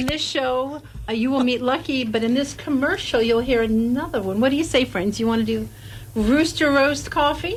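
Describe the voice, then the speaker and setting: Against noticeable background noise, a woman speaks at a moderate pace and a high pitch, with ordinary pitch variation and very even loudness. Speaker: writer and producer of a radio show. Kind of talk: casual radio interview answer.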